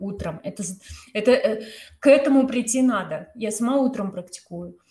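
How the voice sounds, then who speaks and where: Somewhat breathy speech unfolds at a moderate pace with ordinary pitch variation. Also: woman. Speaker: yoga teacher and podcast host. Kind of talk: casual chat.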